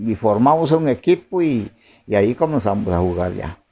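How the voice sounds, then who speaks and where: Lively intonation animates this man's dark, mellow tone as he keeps a moderate pace. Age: 80s+. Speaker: farmer settler. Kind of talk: oral history interview. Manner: halting, many fillers.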